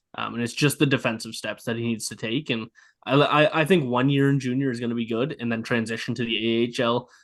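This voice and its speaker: Over a quiet background, a man with a Nova Scotian accent talks at a very fast pace with fairly even intonation. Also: medium pitch for a man. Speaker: hockey podcast host. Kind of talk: casual chat.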